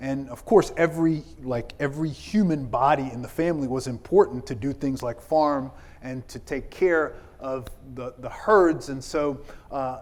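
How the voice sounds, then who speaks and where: A man with an ordinary speaking voice talks at a moderate pace and a fairly high pitch, with ordinary pitch variation and big swings in loudness. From South Carolina, US South (born in Ethiopia). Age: 40s. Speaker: pastor. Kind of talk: keynote speech. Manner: conversational, many fillers.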